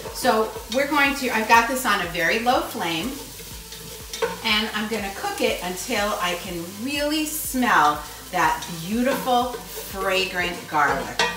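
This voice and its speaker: Noticeable background noise and audible room echo around a woman's very slow delivery. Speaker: home cooking show host. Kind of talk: tutorial. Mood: warm and friendly. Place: kitchen. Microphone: camera far.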